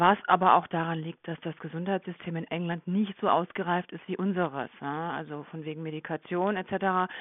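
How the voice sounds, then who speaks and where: A woman with a plain, everyday voice speaks at a moderate pace in a fairly low pitch, her intonation fairly even but her loudness swinging widely. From Germany. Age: 40s. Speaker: nurse. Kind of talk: interview. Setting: podcast interview.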